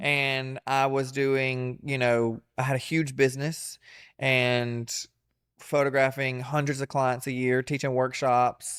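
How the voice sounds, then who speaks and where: At a very slow pace, a man with a Southern US accent and medium pitch speaks in a monotone, flat intonation. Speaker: comedian and entertainer. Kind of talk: interview answer. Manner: casual, candid.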